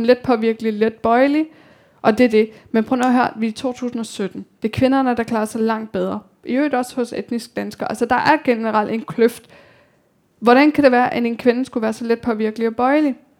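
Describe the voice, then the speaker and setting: High pitch from a woman, fairly quick in pace, with ordinary variation. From Denmark, Copenhagen (Amager). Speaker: author. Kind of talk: talk with audience Q&A. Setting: library event with audience.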